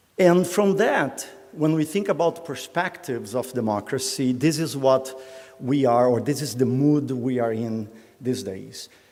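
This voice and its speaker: A man at a fairly slow pace with lively intonation, noticeable background noise behind him. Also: medium pitch for a man. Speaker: professor. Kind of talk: lecture. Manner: hesitant, many fillers.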